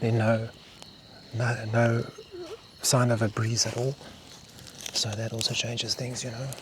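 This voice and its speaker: Soft-spoken and monotone, a man talks at a fairly slow pace with long, frequent pauses. Noticeable background noise sits behind his flat intonation. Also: medium pitch for a man. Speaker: bushcraft vlogger. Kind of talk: solo outdoor vlog narration. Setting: outdoors at night in the bush.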